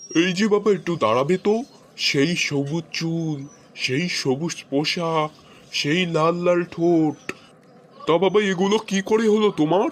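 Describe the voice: Using a cartoonish character voice, a man speaks high-pitched at a fairly slow pace with ordinary pitch variation.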